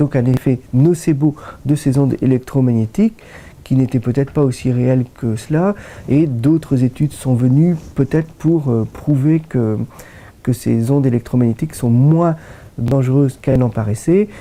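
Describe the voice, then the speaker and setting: A man speaks at a medium pitch and a fairly slow pace. His loudness stays very even, and his pitch varies in an ordinary way. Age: 60s. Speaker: doctor, rheumatologist. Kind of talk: interview. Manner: hesitant, many fillers.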